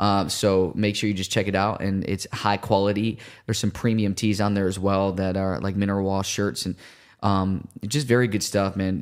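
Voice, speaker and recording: On a very clean recording with a silent background, a man speaks at a moderate pace and a fairly low pitch. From Puerto Rican family, Chicago. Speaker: evangelist. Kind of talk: casual chat; preaching. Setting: studio livestream. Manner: animated.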